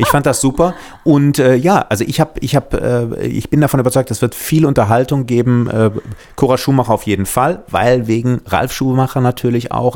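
A man with an ordinary speaking voice, talking at a moderate pace. His pitch is medium, with ordinary pitch variation. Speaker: podcast host, former reality TV contestant. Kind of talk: casual chat.

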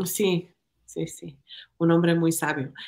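In an ordinary speaking voice, a woman talks at a moderate pace with fairly low pitch. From Ecuador. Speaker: political candidate. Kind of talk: podcast interview.

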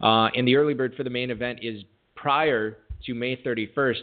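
This man has a plain, everyday voice at a medium pitch. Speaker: fantasy football radio show host. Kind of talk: casual chat and interview. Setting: live radio broadcast studio.

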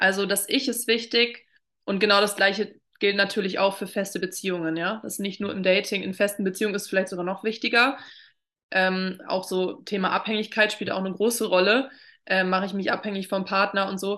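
A woman talks at a fairly quick pace in a bright, sharp tone with flat, monotone intonation against a quiet background. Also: medium pitch for a woman. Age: 20s. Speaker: drama therapist. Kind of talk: casual interview.

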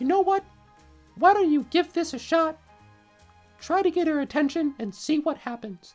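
Over faint music in the background, someone in a high-pitched, put-on character voice talks at a moderate pace with long, frequent pauses. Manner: encouraging, chirpy.

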